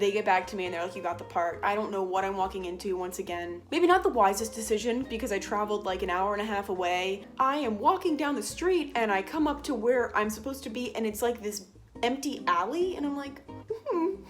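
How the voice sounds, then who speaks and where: A woman speaks at a fairly quick pace with a fairly high pitch and lively intonation. Noticeable background noise runs underneath. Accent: American. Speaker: vlogger. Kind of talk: casual storytelling vlog. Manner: animated.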